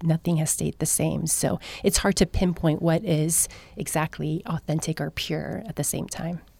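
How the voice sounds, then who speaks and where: A dark, mellow tone with vocal fry, dry and close with no echo. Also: woman, very deep, low pitch for a woman, moderate pace. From United States, Korean immigrant family. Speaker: radio show co-host. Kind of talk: casual chat. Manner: hesitant, many fillers.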